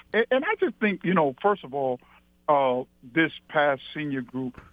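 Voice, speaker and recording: A man's fairly high-pitched voice, a normal speaking voice at a moderate pace. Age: 60s. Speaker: retired high school basketball coach. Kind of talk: interview. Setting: phone call.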